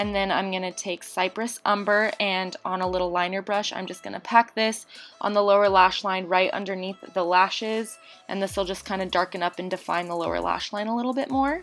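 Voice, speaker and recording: Over music in the background, a woman talks at a fairly quick pace, her medium pitch held in fairly even intonation. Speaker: beauty youtuber. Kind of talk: tutorial. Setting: voiceover. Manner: fast.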